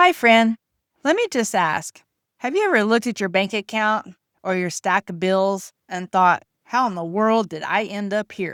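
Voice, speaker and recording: A woman with a plain, everyday voice speaks at a moderate pace, medium in pitch with ordinary variation. The recording is very clean and dry, close-miked with no echo and a silent background. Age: 50s. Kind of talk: faith-based personal testimony to camera.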